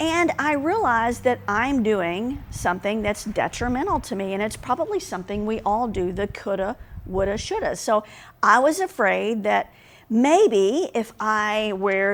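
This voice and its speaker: Her fairly high voice rising and falling in lively intonation, a woman speaks at a fairly slow pace. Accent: Southern US. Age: middle-aged. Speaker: business leader and consultant. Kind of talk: vlog monologue. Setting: home recording. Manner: casual.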